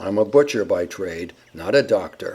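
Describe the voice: A put-on character voice from a man, raspy and growling, fairly low in pitch, with lively intonation at a moderate pace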